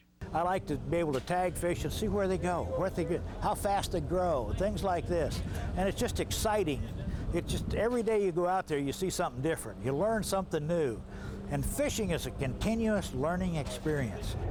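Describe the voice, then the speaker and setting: With noticeable background noise and audible room echo, a man speaks at a high pitch and a fairly quick pace, his loudness very even and his pitch variation ordinary. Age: 70s. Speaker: angler. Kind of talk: casual chat. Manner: animated.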